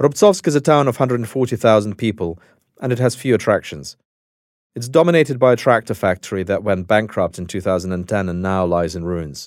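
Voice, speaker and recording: Lively intonation and a Russian accent come through at a moderate pace. The recording is very clean, with a silent background. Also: man, fairly low pitch for a man. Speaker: journalist and podcast host. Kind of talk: narrated documentary.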